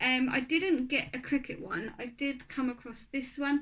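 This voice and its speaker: A woman with a Norfolk accent speaks at a high pitch. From Norfolk, England. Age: 30s. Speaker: craft and beauty YouTuber. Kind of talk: casual talk to camera.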